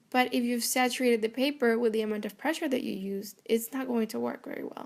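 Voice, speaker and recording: A fairly high-pitched woman's voice with a Spanish accent and fairly even intonation. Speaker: art channel creator. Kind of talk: tutorial voiceover. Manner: casual, hesitant with fillers.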